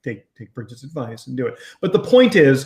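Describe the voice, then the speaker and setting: A man with a fairly high pitch at a moderate pace. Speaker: business coach. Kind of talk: casual chat. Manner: loud.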